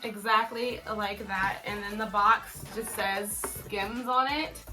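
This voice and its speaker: A woman's fairly high voice at a very slow pace, with music in the background and audible room echo. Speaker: fashion YouTuber. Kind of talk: unboxing video. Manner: loud, yelling; animated.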